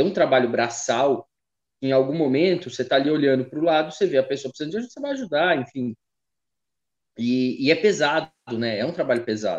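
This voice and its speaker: A man with a fairly high pitch talks at a very fast pace. His delivery has ordinary pitch variation and long, frequent pauses. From Taubaté, São Paulo state, Brazil. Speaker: podcast host. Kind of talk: casual interview chat. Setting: at his mother's house.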